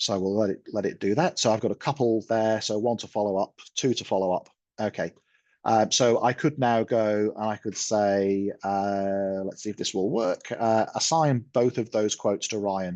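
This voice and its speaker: This man has an English accent and a fairly low pitch. He talks at a moderate pace with ordinary pitch variation against a quiet background. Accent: English accent (Pommy). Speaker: software product presenter. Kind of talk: webinar product demo. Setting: online webinar. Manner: casual, hesitant with fillers.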